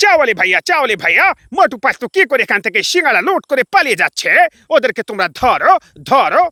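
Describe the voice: In a put-on character voice, a man squeaks at an extremely high pitch with very wide pitch swings. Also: moderate pace.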